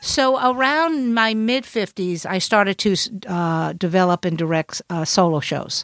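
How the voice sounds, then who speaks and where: In a Brooklyn accent, a woman speaks at a fairly slow pace with hardly any pauses and lively intonation, her voice dry and close with no echo. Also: medium pitch for a woman. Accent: New York (Brooklyn). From Brooklyn, New York. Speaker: comedian. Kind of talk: casual chat.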